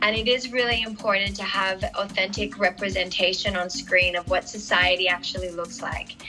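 A woman with an Australian accent speaks with clear music in the background. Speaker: actress. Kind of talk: interview answer. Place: home room.

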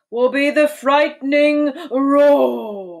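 Put-on character voice pitched high. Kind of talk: narrated. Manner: growling.

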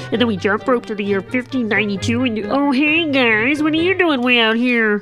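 Over clear background music, a woman does a cartoonish character voice at a fairly quick pace. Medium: puppet show. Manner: fast, breathless, rambling.

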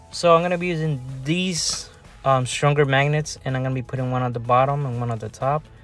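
Fairly even intonation in a dry sound with no echo, with faint music in the background. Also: man. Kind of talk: casual DIY tutorial narration. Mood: mildly frustrated. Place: home room. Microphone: camera far.

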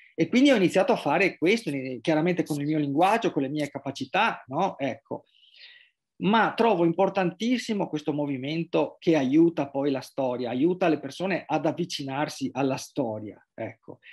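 A man speaks at a moderate pace with a fairly high pitch. His intonation is lively, and the background is quiet. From Venice, Italy; Italy. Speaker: journalist and writer; journalist, interviewee. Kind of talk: interview. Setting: remote video call. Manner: halting, many repetitions and fillers. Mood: calm, reflective. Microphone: video call.

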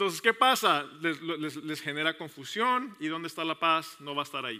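A man talks at a fairly high pitch with lively intonation. His tone is bright and sharp. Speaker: pastor. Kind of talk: sermon. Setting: church service with congregation, also streamed online. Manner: fast; halting, many repetitions and fillers. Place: church. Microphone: headset.

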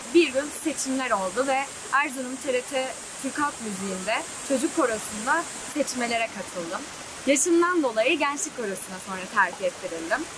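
High-pitched woman with lively intonation at a moderate pace, over noticeable background noise. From Erzurum, Turkey. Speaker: medical student; singer. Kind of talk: interview answer.

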